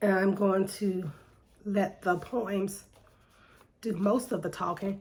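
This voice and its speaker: Somewhat breathy, a woman talks at a very slow pace with fairly even intonation. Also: medium pitch for a woman. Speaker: poet. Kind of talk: spoken word monologue. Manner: hesitant with fillers.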